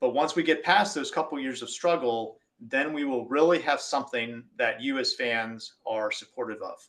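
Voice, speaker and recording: A man speaks with an American accent. His pace is moderate against a quiet background. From United States. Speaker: industry engineer presenting at webinar. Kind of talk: webinar presentation. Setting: online webinar.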